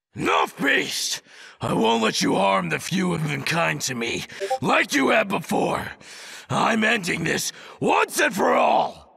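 Using a put-on character voice, a man talks in a raspy tone at a fairly slow pace, his pitch fairly high. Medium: game stream. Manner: fierce, defiant shouting.

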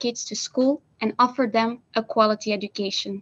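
A woman's voice with fairly even intonation. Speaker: stand-in minister for a day. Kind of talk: conference speech. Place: office. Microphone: video call.

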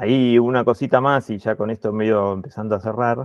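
The man's voice comes through dry with no echo against a quiet background. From Argentina. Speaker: meeting moderator. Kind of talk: online meeting moderation. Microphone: earbuds.

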